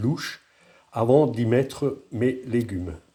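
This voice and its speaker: A man speaks at a medium pitch in a dark, mellow tone that is somewhat breathy, with ordinary pitch variation. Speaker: home cooking video creator. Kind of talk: cooking tutorial. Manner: halting, with fillers and repetitions.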